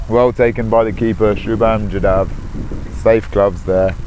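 The speaker is a man with a medium-pitched voice. Background music can be heard. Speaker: cricket commentator. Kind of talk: live ball-by-ball cricket commentary, tracking scores and run rates. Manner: analytical, narrating match situation and pressure.

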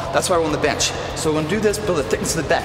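Music plays in the background as a man talks with ordinary pitch variation. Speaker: fitness trainer. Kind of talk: tutorial. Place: gym.

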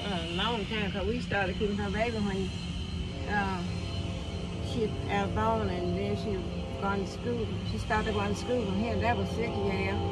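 The speaker keeps a moderate pace, with long, frequent pauses over loud background noise. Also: woman. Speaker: vlogger. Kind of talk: casual family conversation. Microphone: phone near.

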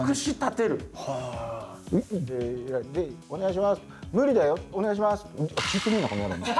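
A man's high-pitched voice with very wide pitch swings at a moderate pace, over clear music in the background. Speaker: voice actor. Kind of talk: casual talk. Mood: joking, mock-exasperated. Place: studio.

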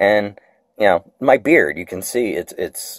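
A man speaks at a moderate pace in a dry sound with no echo against a quiet background. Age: 40s. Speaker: video blogger. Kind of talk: tutorial; casual vlog chat. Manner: halting, many fillers. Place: kitchen. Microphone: phone near.

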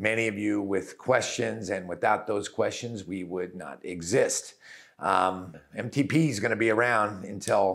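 Over a quiet background, a man talks at a fairly slow pace with a fairly low pitch and ordinary pitch variation. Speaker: doctor hosting a web series. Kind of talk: casual host address to viewers. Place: office. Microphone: lapel.

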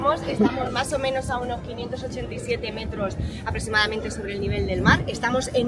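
A woman's fairly slow speech with ordinary pitch variation, crowd noise in the background. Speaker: tour guide. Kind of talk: guided tour explanation. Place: street.

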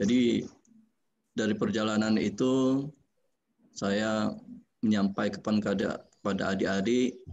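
A man's fairly low voice, fairly even in intonation, at a very slow pace. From Jambi, Sumatra, Indonesia; Indonesia. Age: 40s. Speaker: government architect; webinar speaker. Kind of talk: webinar talk. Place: office. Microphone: video call.

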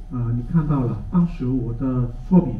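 A man speaks fairly slowly, his voice carrying audible room echo. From Hong Kong. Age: 60s. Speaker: technology teacher. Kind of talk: conference talk; lecture. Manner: hesitant with fillers. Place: hall.

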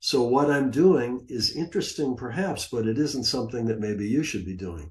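Somewhat breathy male speech at a moderate pace with lively intonation. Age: 70s. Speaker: retired trader and former money manager; conference presenter. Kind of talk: conference presentation. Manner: casual, with many fillers. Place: home room. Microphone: webcam.

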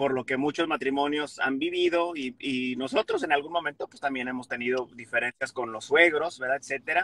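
This man's voice sits at a fairly high pitch and has a bright, sharp tone. He speaks at a moderate pace, and the sound is dry with no echo. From Mexico. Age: 30s. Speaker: comedian. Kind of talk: casual chat. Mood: conciliatory, relaxed. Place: car. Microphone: phone near.

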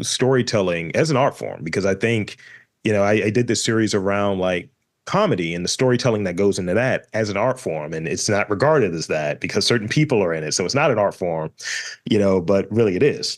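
This man has a plain, everyday voice, fairly low in pitch, with lively intonation and a fairly quick pace. The background is quiet. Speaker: podcast host. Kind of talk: casual podcast interview talk.

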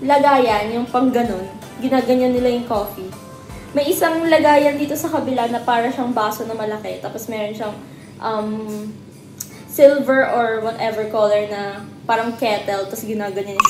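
With music in the background and audible room echo, a woman speaks at a moderate pace with ordinary pitch variation. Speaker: vlogger. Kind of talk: casual vlog chat. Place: home room. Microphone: phone near.

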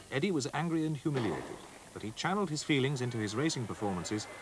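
A man at medium pitch with a dramatic tone and very wide pitch swings, going at a very fast pace over noticeable background noise. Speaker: documentary narrator. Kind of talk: scripted sports-history documentary narration, read solemn and measured. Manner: formal, steady, dramatic, even-paced delivery.

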